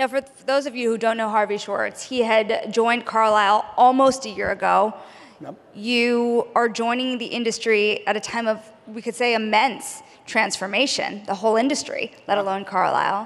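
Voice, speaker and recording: A woman's fairly high voice at a moderate pace, with fairly even intonation. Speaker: TV business journalist, panel moderator. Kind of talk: panel interview. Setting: stage with audience. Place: stage. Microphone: handheld.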